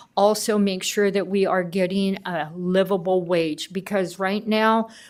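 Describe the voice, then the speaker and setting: At a fairly slow pace, a woman of medium pitch talks in a monotone, flat intonation on a very clean recording with a silent background. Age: 70s. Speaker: care provider speaking at public comment. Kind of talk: public comment at county board meeting.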